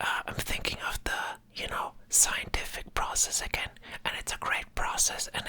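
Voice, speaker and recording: Against noticeable background noise, someone is whispering at a fairly slow pace. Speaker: ASMR creator. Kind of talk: casual rambling talk to camera. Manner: rambling, hesitant, full of filler words.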